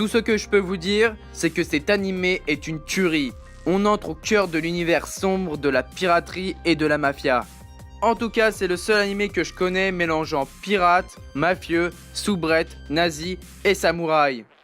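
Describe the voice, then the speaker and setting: Music plays in the background as a man talks at a fairly slow pace and high pitch, with ordinary pitch variation. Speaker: YouTube anime reviewer. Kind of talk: anime review voice-over.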